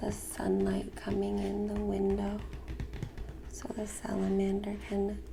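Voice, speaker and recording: A soft-spoken woman with a very deep, low pitch speaks at a fairly slow pace in a gentle tone, her intonation lively. Noticeable background noise runs under the recording. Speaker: ASMR creator reading a picture book aloud. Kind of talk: ASMR picture book reading. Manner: soft-spoken, gentle.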